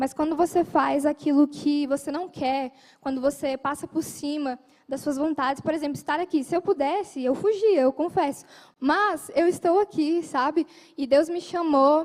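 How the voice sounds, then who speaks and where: With ordinary pitch variation, a woman talks at a high pitch and a moderate pace. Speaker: lay preacher. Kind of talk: sermon.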